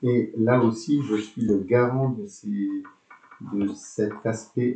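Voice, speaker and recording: A man at a very slow pace, with medium pitch and fairly even intonation. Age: 60s. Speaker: school principal. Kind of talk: interview. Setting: school web radio. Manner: hesitant, many fillers.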